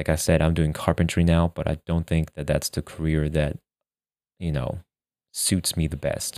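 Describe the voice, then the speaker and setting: A man with an American accent speaks at a very deep, low pitch with a dark, mellow tone and monotone, flat intonation at a moderate pace. The sound is dry and close with no echo, on a very clean recording with a silent background. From Germany and US (Michigan). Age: 20s. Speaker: podcast host. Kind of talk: casual monologue. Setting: home recording.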